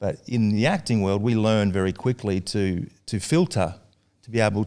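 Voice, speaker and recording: A man with an Australian accent, fairly low pitch with ordinary variation, moderate pace and a very clean, silent-background recording. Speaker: actor and director. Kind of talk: podcast interview answer.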